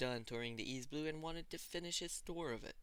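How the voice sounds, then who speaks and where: Speaking with ordinary pitch variation, a man has a fairly high voice and a bright, sharp tone. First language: not English. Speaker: fanfiction author reading own work. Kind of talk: reading aloud.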